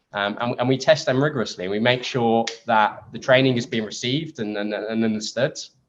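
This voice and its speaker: Speaking with an English accent, a man of medium pitch moves at a fairly quick pace with hardly any pauses. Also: fairly even intonation. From England. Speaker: startup co-founder. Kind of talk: interview. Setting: podcast.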